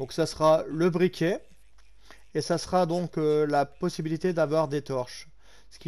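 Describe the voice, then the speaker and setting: Very slow, fairly evenly intoned speech from a man. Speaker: gaming YouTuber. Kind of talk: gameplay commentary. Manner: halting.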